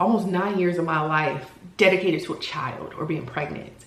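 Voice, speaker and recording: There is noticeable background noise and audible room echo. A woman talks at a moderate pace with lively intonation. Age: 40s. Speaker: lifestyle vlogger and solo entrepreneur. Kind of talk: personal vlog monologue. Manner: casual, halting.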